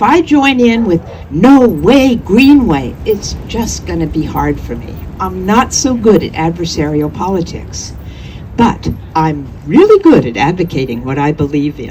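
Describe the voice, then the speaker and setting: A woman at a fairly slow pace, with big swings in loudness and noticeable background noise. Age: 70s. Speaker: artist and activist speaker. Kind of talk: public speech at a rally.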